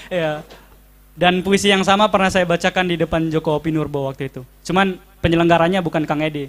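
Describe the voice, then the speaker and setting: In a Makassar accent, a man talks at a very fast pace with a high pitch and fairly even intonation. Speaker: audience member reading a poem. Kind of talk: poetry reading and audience question.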